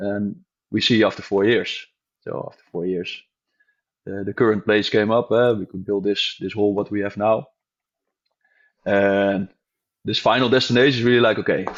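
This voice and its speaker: A man with a Dutch accent talks at a moderate pace and a fairly low pitch, with fairly even intonation, long, frequent pauses and big swings in loudness. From Netherlands. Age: 40s. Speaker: gym owner. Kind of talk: interview. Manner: halting.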